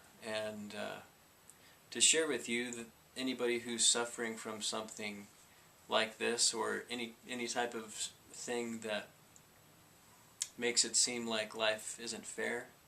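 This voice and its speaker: A man speaks at a fairly slow pace in a flat monotone at a medium pitch, with long, frequent pauses and noticeable background noise. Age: 30s. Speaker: vlogger with Tourette syndrome. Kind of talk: personal testimony vlog. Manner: halting, with repetitions and fillers; vocal tics.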